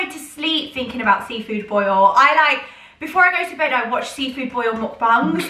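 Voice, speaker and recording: A woman projects her raised voice with ordinary pitch variation. Room echo is audible. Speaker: vlogger. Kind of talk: casual vlog chat. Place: kitchen.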